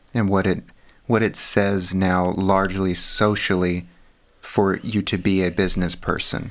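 In a very clean recording with a silent background, a man with an American accent speaks in a very deep, low pitch, with monotone, flat intonation and very even loudness. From Texas. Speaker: podcast co-host, research scientist. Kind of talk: casual conversation.

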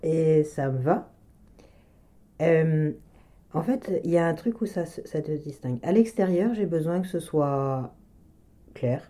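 Long pauses come often in speech that is extremely slow. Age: 40s. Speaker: manual medicine practitioner. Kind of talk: personal testimony interview. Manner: halting, with frequent hesitations.

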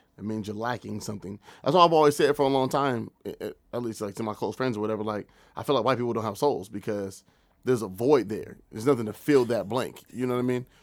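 A very fast American accent with ordinary pitch variation, in a very clean recording with a silent background. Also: man, medium pitch for a man. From US Pacific Northwest, Tacoma area. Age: 20s. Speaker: podcast host. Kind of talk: casual chat.

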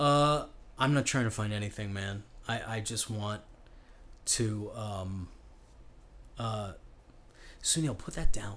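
With an American accent, a man talks at a very slow pace with long, frequent pauses, his pitch fairly low, his pitch variation ordinary, and his loudness swinging widely. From Chicago. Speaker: comedian. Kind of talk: casual chat.

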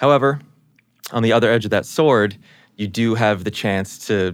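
The speaker has a New York accent and a moderate pace. The recording is very clean, with a silent background. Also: man. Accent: New York American. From US Northeast, New York. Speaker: brand strategist at a social media platform. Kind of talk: casual chat.

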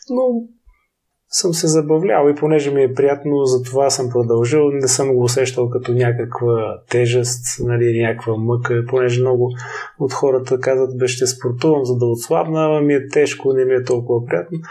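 A man talks at a moderate pace in a normal speaking voice with medium pitch. His intonation is fairly even and his loudness very even. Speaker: naval officer and ultramarathon runner. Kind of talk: interview.

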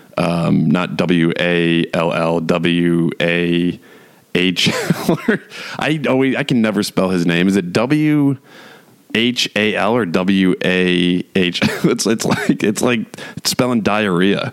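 A man speaks very slowly in a very deep, low pitch, with ordinary pitch variation and very even loudness. Noticeable background noise can be heard. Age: 40s. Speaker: solo podcast host. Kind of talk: casual monologue. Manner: hesitant, many fillers.

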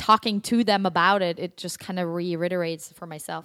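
A very clean recording with a silent background, in a German accent. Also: woman. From Germany, Stuttgart. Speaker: actress and acting teacher. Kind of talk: casual chat. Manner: animated.

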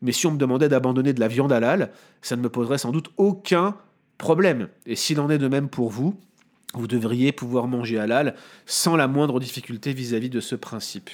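In a very clean recording with a silent background, a man's speech moves at a fairly quick pace. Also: medium pitch for a man, ordinary pitch variation. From France, Paris area (Montreuil). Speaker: Bible teacher. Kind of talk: explanatory theological discussion. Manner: hesitant, with fillers and repetitions.

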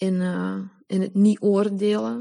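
Speaking at a fairly slow pace against a quiet background, a woman uses a plain, everyday voice with medium pitch and fairly even intonation. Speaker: member of a women's circle. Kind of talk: personal testimony.

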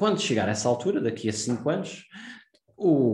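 A man with a European Portuguese accent speaks at a medium pitch and a fairly quick pace, somewhat breathy, with a dark, mellow tone. His intonation is lively, and room echo is audible. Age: 30s. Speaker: investment podcast host. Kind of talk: solo podcast monologue. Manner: hesitant, many fillers and repetitions.

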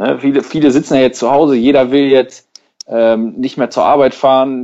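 With an ordinary speaking voice, a man talks at medium pitch and a moderate pace with fairly even intonation. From Germany, Schwelm (Ruhr area, NRW). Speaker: podcast host. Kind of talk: casual chat.

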